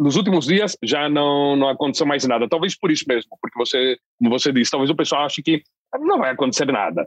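A man with a normal speaking voice, fairly high in pitch, at a fairly quick pace with ordinary pitch variation, in a dry, close sound with no echo. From southern Brazil (Londrina, Paraná). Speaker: foreign correspondent journalist. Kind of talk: interview discussion.

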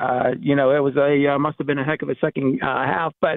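A man with a western Pennsylvania accent at a fairly quick pace. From Pittsburgh area. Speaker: caller. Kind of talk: radio call-in. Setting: phone call.

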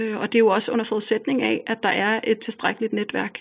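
The recording is very clean, and the background is silent. Her voice sits fairly high. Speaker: parent of home-schooled children. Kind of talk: interview.

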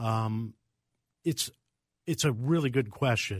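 A man talks at a moderate pace in a plain, everyday voice. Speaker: pharmacist. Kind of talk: radio call-in panel answering listener questions. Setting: radio studio.

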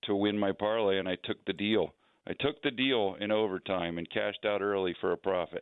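A man talks at a fairly quick pace with an American accent and a normal speaking voice. His pitch is fairly low and his intonation fairly even. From New Jersey. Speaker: hockey team general manager. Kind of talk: radio interview.

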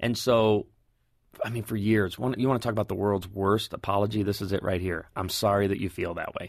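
A man with an unremarkable speaking voice talks at a fairly quick pace and fairly low pitch. His intonation is fairly even, and the background is quiet. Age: 40s. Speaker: pastor. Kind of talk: casual chat.

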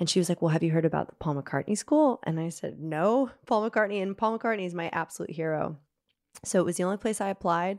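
Very fast and fairly low-pitched, a woman talks on a very clean recording with a silent background. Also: ordinary pitch variation. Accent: American. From US South, Nashville, Tennessee. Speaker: singer-songwriter. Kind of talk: casual chat.

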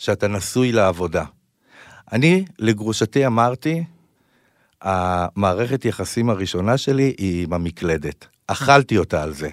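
Very clean recording with a silent background: a man's fairly low voice, very slow and with lively intonation, in a dry, close sound with no echo. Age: 30s. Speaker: podcast host. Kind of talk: interview conversation.

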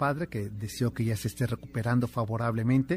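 Very fast, somewhat breathy speech from a man at a medium pitch with ordinary pitch variation, on a very clean recording with a silent background. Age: 50s. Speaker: radio host. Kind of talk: radio show with scripted history narration. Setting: radio studio.

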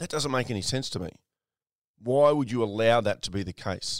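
The recording is very clean, with a silent background. A man with an Australian accent speaks using lively intonation. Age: 50s. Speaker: podcast host and mindset mentor. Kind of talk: motivational monologue.

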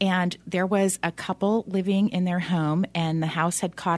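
A woman's normal speaking voice at a medium pitch and moderate pace, with ordinary pitch variation, over a quiet background. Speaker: loan officer. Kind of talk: casual expert conversation on radio. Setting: radio studio.

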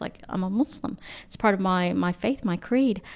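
At a fairly quick pace, a woman with an American accent and a plain, everyday voice talks at medium pitch with ordinary pitch variation. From United States. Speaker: academic and humanitarian. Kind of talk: casual chat.

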